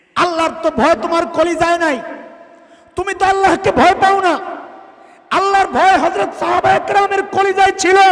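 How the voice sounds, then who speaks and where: Noticeable background noise sits behind this man. His pitch is extremely high and his intonation fairly even. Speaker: Islamic preacher giving a waz sermon. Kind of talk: passionate Bangla religious sermon (waz). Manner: emphatic, fiery, oratorical with rhetorical questions.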